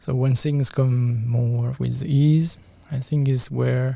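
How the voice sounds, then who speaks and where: His voice has a dark, mellow tone and a medium pitch. The man sounds somewhat breathy. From France. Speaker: energy healer and bodywork practitioner. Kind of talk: interview.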